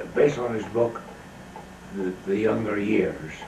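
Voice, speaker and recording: Noticeable background noise and audible room echo around a male speaker talking at a fairly slow pace. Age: 90s. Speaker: author and filmmaker giving lectures. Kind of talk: storytelling lecture.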